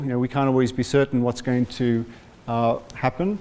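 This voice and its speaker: A man is speaking. His pace is fairly quick. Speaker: hepatology doctor. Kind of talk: medical talk to patient group. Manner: soft-spoken.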